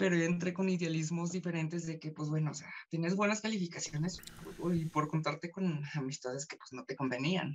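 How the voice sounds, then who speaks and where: This man speaks in a high pitch. Light background noise sits behind him. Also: ordinary pitch variation, fairly quick pace. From Mexico, Fresnillo, Zacatecas; Zacatecas, Mexico. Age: 30s. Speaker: ASMR creator. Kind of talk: casual interview chat. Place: home room. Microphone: video call.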